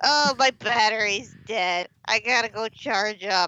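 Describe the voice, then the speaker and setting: In a put-on character voice, the speaker uses a fairly high pitch at a fairly slow pace. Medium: game stream. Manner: deadpan, sardonic.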